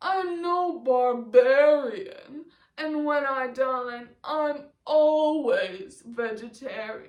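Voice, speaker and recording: Loud and very slow, a woman with a high pitch uses a put-on character voice, with audible echo. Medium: read story. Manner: loud, howling.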